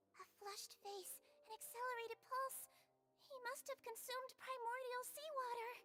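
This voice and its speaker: Putting on a squeaky character voice, a woman speaks at an extremely high pitch with fairly even intonation. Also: moderate pace. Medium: video game. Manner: polite, soft-spoken, formal.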